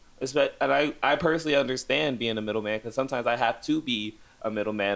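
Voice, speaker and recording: This man has a normal speaking voice with an American accent, medium in pitch and with ordinary pitch variation. He talks at a fairly quick pace on a very clean recording with a silent background. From Chicago, US. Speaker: podcast co-host. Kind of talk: casual chat.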